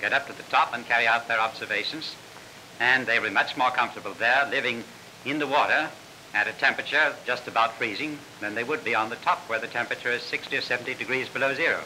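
Over light background noise, a man with an Australian accent speaks very fast at a medium pitch with fairly even intonation. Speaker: polar explorer. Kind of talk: interview answer in a 1938 newsreel. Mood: confident, upbeat. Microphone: old recording.

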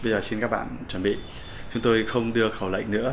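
A man's voice sits at a fairly low pitch. Light background noise can be heard. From Vietnam. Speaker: English pronunciation teacher. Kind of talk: lecture. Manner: formal; halting. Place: studio.

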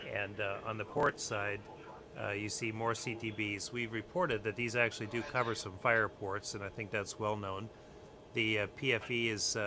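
Against noticeable background noise, a man with a fairly low pitch speaks at a moderate pace with fairly even intonation. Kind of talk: technical walkthrough commentary. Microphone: phone near.

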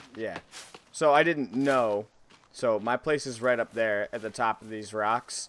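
A man with an American accent speaks with big swings in loudness and ordinary pitch variation. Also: medium pitch for a man. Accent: Boston accent, comes out when scared. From Boston, US. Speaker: gaming streamer. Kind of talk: let's play commentary.

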